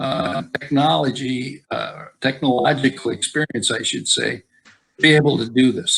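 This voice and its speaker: Vocal fry with an American accent. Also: man, medium pitch for a man, ordinary pitch variation, moderate pace. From eastern Wisconsin. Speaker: senior center member teaching memoir making. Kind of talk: casual discussion on video call. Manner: halting, many fillers.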